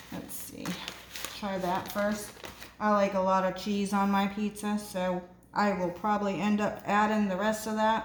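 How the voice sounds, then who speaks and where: A woman talks in a monotone, flat delivery at a fairly slow pace. The recording carries audible room echo and noticeable background noise. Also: medium pitch for a woman. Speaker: home cooking video host. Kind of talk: cooking tutorial. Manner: sometimes quiet, lowers voice; casual, hesitant with fillers.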